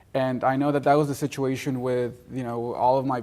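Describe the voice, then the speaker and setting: In a Spanish accent, a man talks at a medium pitch with monotone, flat intonation. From Mexico, raised in Gwinnett County, Georgia. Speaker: college alumnus. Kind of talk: interview. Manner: halting, many fillers and repetitions.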